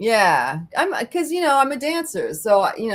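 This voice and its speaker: A woman speaks at a moderate pace. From France and England. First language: French. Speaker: singer and percussionist in a band. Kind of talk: interview.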